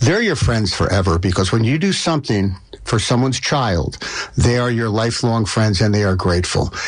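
A man at medium pitch, fairly quick and lively in intonation, with very even loudness over noticeable background noise. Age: 70s. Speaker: lawyer. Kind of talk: interview.

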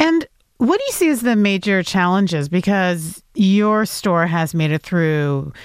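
A woman talks at a fairly slow pace in an unremarkable speaking voice with ordinary pitch variation, on a very clean recording with a silent background. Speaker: radio host. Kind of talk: radio news interview.

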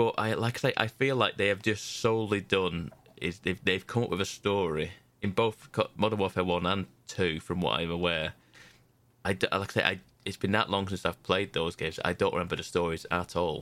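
A man with a British accent, very deep and low in pitch, fairly quick with fairly even intonation, in a very clean recording with a silent background. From Britain. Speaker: video game podcast panelist. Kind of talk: casual chat.

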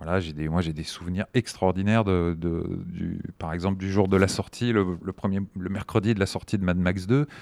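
This man's voice sits at a very deep, low pitch with fairly even intonation. He keeps a moderate pace with hardly any pauses, on a very clean recording with a silent background. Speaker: film screening organizer, association founder. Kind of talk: interview. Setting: library recording room, masked. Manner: halting.

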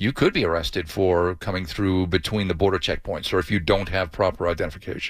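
A man's very deep, low voice at a very fast pace, with fairly even intonation, on a very clean recording with a silent background. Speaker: news correspondent. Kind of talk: live news report.

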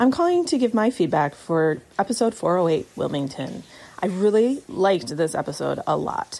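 A woman's medium-pitched, dark, mellow voice with an American accent, very wide pitch swings and a moderate pace. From Oregon. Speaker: listener giving voice feedback. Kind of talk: recorded voice message.

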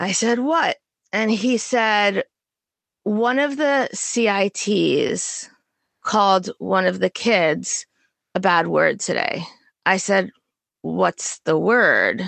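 A woman with an American accent speaks very slowly with long, frequent pauses. Her loudness stays very even. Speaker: true crime podcast host. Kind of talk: storytelling narration of a true crime case.

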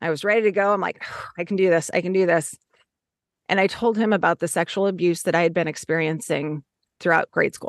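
Over a quiet background, a woman speaks at a very fast pace with a fairly low pitch and fairly even intonation, the sound dry and close with no echo. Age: 50s. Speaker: author. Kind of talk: interview.

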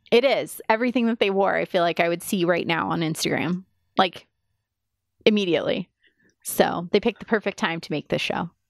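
In an American accent, a woman with vocal fry talks at a fairly quick pace with ordinary pitch variation and long, frequent pauses, the sound dry and close with no echo on a very clean recording with a silent background. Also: medium pitch for a woman. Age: 30s. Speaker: podcast co-host. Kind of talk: casual chat. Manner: laughs often.

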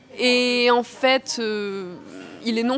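A woman talks at a fairly high pitch, with ordinary pitch variation, over noticeable background noise. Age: 20s. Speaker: actress and student. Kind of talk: interview. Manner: hesitant with fillers.

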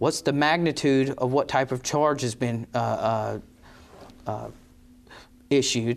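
A man's medium-pitched voice at a fairly slow pace with ordinary pitch variation. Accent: North Carolina. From North Carolina, Rockingham County. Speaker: district attorney. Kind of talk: interview. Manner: halting, many fillers.

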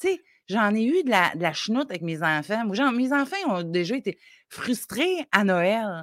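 A woman talks at a fairly slow pace in a fairly high pitch. Her pitch swings very widely. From Côte-Nord, Quebec. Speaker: parenting coach. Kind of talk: advice talk.

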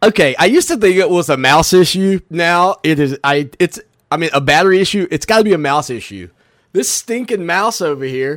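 A high-pitched man with a Southern US accent talks at a fairly quick pace with lively intonation, the sound dry and close with no echo on a very clean recording over a silent background. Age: 40s. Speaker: sports radio host. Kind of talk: radio talk show.

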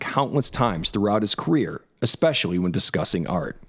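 A plain, everyday voice with lively intonation speaks at a moderate pace in a very clean recording against a silent background. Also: man. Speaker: podcast host. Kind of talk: scripted narration mixed with casual chat.

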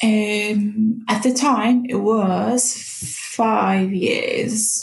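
A woman speaks in a somewhat breathy voice at a fairly high pitch. Room echo is audible. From Morocco. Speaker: podcast guest sharing personal story. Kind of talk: personal testimony.

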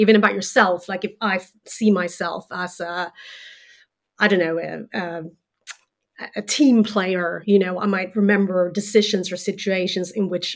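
In a Swedish accent, a woman with a medium pitch speaks at a moderate pace in a monotone, flat intonation. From Sweden. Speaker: journalist and author. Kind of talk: interview, explaining research.

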